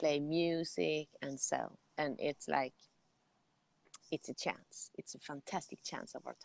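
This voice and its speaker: A woman's very deep, low voice in a Swedish accent, fairly slow with long, frequent pauses, big swings in loudness, and a dry, close sound with no echo. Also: ordinary pitch variation. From Sweden. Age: 40s. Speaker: jazz musician. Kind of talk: interview. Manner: animated.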